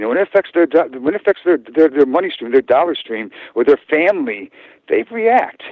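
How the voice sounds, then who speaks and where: A man talks in an animated tone at a fairly quick pace. His voice is high-pitched, with very wide pitch swings. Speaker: guest on talk radio show. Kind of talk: radio interview. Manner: fast; animated, many repetitions and fillers.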